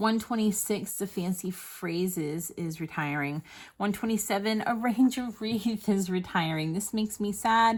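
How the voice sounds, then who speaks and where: In a very clean recording with a silent background, a woman of medium pitch speaks in a somewhat breathy voice at a moderate pace with ordinary pitch variation. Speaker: papercraft demonstrator. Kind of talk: product review video. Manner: casual, hesitant with fillers.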